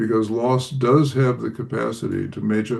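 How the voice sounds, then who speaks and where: Speaking at a fairly slow pace, a man's voice carries vocal fry. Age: 80s+. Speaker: author answering audience questions. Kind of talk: interview answer. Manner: reflective, with frequent fillers.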